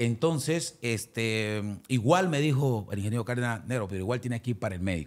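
A man with medium pitch speaks at a fairly quick pace with hardly any pauses. His intonation is lively. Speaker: salsa singer. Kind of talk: interview.

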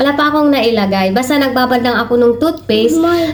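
Audible room echo surrounds a high-pitched woman with a strong Mindanao accent. Her pitch varies in an ordinary way. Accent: strong Tiruray accent in Tagalog. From Philippines, Mindanao (Tiruray people). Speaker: vlogger, overseas domestic worker. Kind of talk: casual vlog. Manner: halting, stumbles over words.

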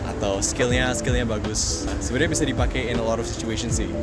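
A man's voice with clear music in the background. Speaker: guest. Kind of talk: casual explainer to camera. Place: street.

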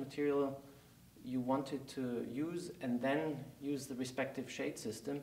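With a German accent, a man speaks at a fairly slow pace, and audible room echo surrounds his voice. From Germany. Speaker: company CEO. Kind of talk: interview. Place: studio.

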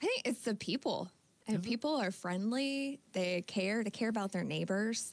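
A woman's fairly high voice with an American accent, ordinary pitch variation, very even loudness and a moderate pace, dry with no echo. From Northern California (Yuba City); California. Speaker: insurance agent; guest. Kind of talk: radio interview. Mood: calm, friendly. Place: studio. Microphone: studio mic.

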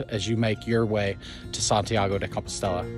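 Clear music plays in the background as a man talks at a fairly quick pace with fairly even intonation, the sound dry with no echo. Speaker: pilgrimage vlogger. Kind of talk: casual vlog chat. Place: forest. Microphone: phone near.

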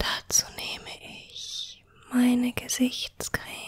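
Whispering at a very slow pace, a woman uses a soothing tone. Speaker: ASMR creator. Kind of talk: ASMR whisper tutorial. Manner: hushed, slow and soothing, whispered softly.

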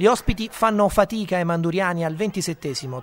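A man's animated, excited tone and lively intonation over noticeable background noise. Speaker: sports commentator. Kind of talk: sports commentary voiceover. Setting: studio voiceover over highlight footage. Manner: fast, energetic, punchy narration with quips; animated, excited play-by-play delivery.

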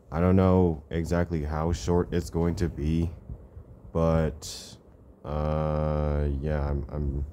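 Mumbling at a very slow pace, a man speaks in a very deep, low pitch with a dark, mellow tone and monotone, flat intonation over light background noise. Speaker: vlogger. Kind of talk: casual vlog chat. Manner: drowsy, hesitant mumble in bed. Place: home room. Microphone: phone near.

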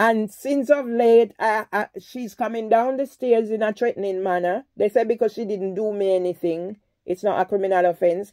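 A woman speaks at a fairly high pitch with ordinary pitch variation and a dark, mellow tone against a quiet background. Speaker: vlogger. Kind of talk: phone call to police, complaint. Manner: calm; halting. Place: home room. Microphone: phone near.

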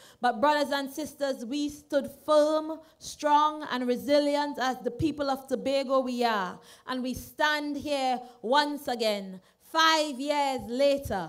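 Speaking at a very slow pace over a quiet background, a woman keeps a high pitch and fairly even intonation. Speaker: candidate. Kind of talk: campaign rally speech. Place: stage. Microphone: studio mic.

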